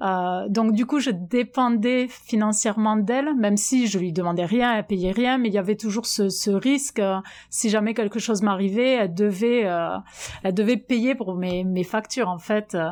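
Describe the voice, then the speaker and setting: A woman at a fairly high pitch and moderate pace, with ordinary pitch variation and very even loudness. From southwest France (Albi, Tarn). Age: 30s. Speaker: French expatriate in the US. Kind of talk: testimony. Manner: halting.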